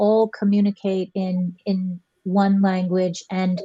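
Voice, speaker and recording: A woman speaks at a medium pitch, somewhat breathy, with a dark, mellow tone and a dry, close sound with no echo. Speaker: teacher. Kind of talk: casual chat.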